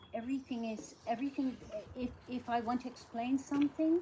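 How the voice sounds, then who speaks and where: Noticeable background noise surrounds a woman with a Dutch accent. She speaks at a moderate pace in a high voice with ordinary pitch variation. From Netherlands. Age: 60s. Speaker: nurse. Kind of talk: casual chat.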